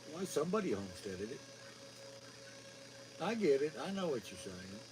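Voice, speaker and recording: Over music in the background, a man with a fairly high pitch talks at a fairly quick pace, his pitch swinging very widely and his loudness shifting a lot. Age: 60s. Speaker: homesteader. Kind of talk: casual chat.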